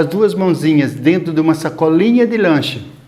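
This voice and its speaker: Against noticeable background noise, a man with a high-pitched voice talks at a moderate pace. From São Paulo interior, Brazil. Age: 60s. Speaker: elderly local resident sharing memories. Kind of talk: oral history interview.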